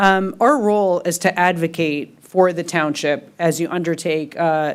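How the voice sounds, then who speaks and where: Fairly low female voice with fairly even intonation on a very clean recording, silent background. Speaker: construction management company representative. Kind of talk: business presentation at public meeting. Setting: township board meeting room. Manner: hesitant, many fillers. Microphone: echo on microphone.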